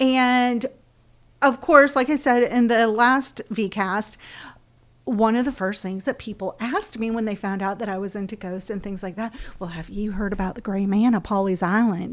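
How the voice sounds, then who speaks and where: With a Southern US accent, a woman speaks at a fairly high pitch and a moderate pace. Her loudness swings widely. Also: ordinary pitch variation. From Florida, US South. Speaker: podcast co-host. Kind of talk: casual chat.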